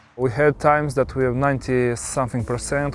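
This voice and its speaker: Here a man with a Moldovan accent speaks at medium pitch. His pace is fairly quick and his intonation fairly even. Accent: Moldovan Romanian accent in English. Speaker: winemaker. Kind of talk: interview. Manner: halting, many fillers.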